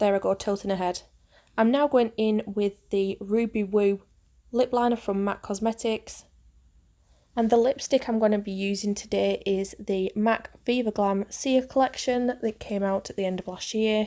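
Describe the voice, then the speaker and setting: A woman's voice at a moderate pace, fairly high in pitch with a dark, mellow tone and fairly even intonation, in a very clean recording with a silent background. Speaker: makeup artist. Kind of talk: tutorial. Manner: hesitant, many fillers.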